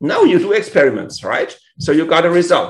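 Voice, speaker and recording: Speaking with a German accent, a man talks at a moderate pace. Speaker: tech conference speaker. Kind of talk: conference talk. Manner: halting.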